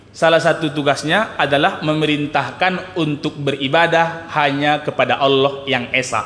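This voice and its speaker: A man speaks with a fairly high pitch and hardly any pauses. Noticeable background noise runs under his voice. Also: very even loudness. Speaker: Islamic preacher. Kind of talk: religious lecture. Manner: slow, deliberate; soft.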